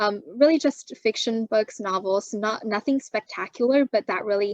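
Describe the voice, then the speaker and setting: With a Chinese accent, a woman talks at a fairly quick pace and a medium pitch, the sound dry and close with no echo over a quiet background. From China, moved to Canada at 12. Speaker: university student. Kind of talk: interview. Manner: frequent fillers and self-repairs.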